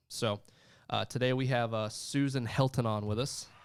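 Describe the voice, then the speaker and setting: In a very clean recording with a silent background, a man with a medium pitch and a slight Southern US accent speaks at a moderate pace with fairly even intonation. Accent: slight country twang, southern. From Florida panhandle, US South. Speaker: insurance sales executive. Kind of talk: livestream interview. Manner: casual, many fillers.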